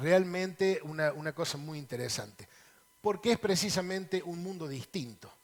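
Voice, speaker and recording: Ordinary pitch variation accompanies speech at a moderate pace. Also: man, high pitch for a man. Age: 60s. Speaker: lawyer, politician and author. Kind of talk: TV interview.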